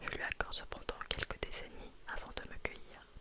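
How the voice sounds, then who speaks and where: With noticeable background noise behind her, a woman whispers at a fairly slow pace. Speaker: ASMR content creator. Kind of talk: whispered story reading, audiobook-style narration. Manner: whispered, slow, intimate.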